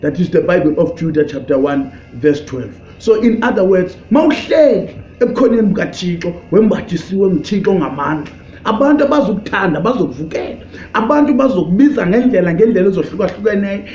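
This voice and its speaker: A man's high voice at a very fast pace with very wide pitch swings, amid audible room echo and noticeable background noise. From South Africa, Eastern Cape. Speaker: pastor. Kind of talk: sermon. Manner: halting, code-switching.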